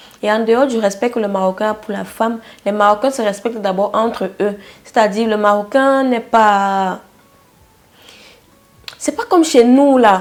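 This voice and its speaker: A woman talks at a fairly slow pace. Her voice sits at a medium pitch with ordinary pitch variation. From Cameroon. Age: 20s. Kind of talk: casual talk to camera.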